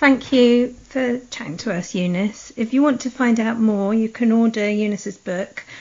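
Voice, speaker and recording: The voice is somewhat breathy, with ordinary pitch variation. It moves at a moderate pace with hardly any pauses. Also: woman, fairly high pitch for a woman. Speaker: podcast host. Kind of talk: interview questions. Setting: Skype call.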